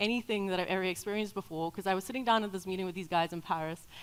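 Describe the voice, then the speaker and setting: There is noticeable background noise behind this woman. Her pitch varies in an ordinary way. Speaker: tech company co-founder, conference speaker. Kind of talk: conference talk. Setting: stage with audience. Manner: fast.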